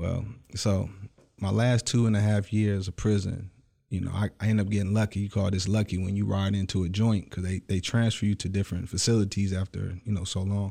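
A man with an American accent speaks at a fairly quick pace in a dark, mellow, somewhat breathy voice of fairly low pitch. His intonation is monotone and flat, on a very clean recording with a silent background. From Michigan, Detroit area. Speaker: actor, musician and entrepreneur. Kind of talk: casual interview. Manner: halting, many fillers.

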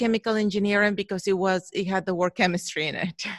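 Someone talks very fast with a Spanish accent, the sound dry and close with no echo against a quiet background. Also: woman. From Mexico. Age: 40s. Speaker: photographer. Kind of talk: interview. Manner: halting.

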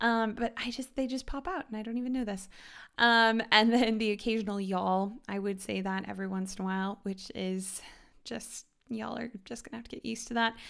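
A woman talks at a fairly quick pace with a Midwestern American accent. Her intonation stays fairly even on a very clean recording with a silent background. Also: fairly high pitch for a woman. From US Midwest, Kansas City, Missouri. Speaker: podcast host. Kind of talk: casual chat.

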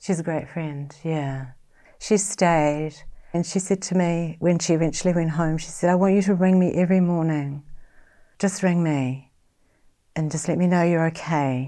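A New Zealand accent comes through in a dark, mellow tone at a moderate pace. The recording is very clean, with a silent background. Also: woman, fairly low pitch for a woman. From New Zealand, West Auckland. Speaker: bereaved sister, writer. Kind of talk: personal testimony.

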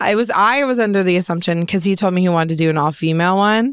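The recording is very clean, with a silent background. It carries an unremarkable speaking voice with ordinary pitch variation. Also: woman. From Collingwood, Ontario, Canada. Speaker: rapper and songwriter. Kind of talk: casual podcast interview.

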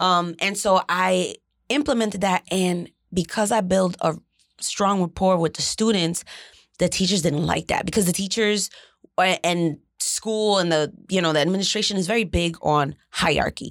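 A woman in an ordinary speaking voice, with an American accent, medium pitch, ordinary pitch variation, very even loudness and a moderate pace, on a very clean recording with a silent background. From New Jersey, Jersey City. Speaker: content creator and former teacher. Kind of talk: casual interview conversation.

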